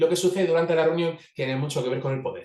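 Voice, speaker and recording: This man's voice sits fairly high in pitch. It carries a somewhat breathy quality. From Italy. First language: Italian (speaking Spanish). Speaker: organizational facilitator. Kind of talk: webinar talk. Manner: fast.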